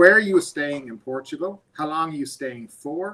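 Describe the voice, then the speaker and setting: A man speaks with an Irish accent and lively intonation. His fairly high voice has a bright, sharp tone. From Ireland. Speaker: guest lecturer. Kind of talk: guest lecture Q&A. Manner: halting, many fillers.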